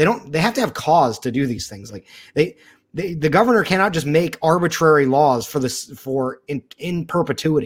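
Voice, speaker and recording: On a very clean recording with a silent background, a man with an unremarkable speaking voice talks at a moderate pace, fairly high in pitch, with lively intonation. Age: 30s. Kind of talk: casual chat.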